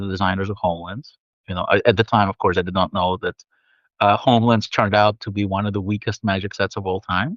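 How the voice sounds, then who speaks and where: In a Russian accent, a man talks with a fairly low pitch and fairly even intonation. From Soviet Union, then New York. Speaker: author and game narrative director. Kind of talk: interview. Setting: live video stream.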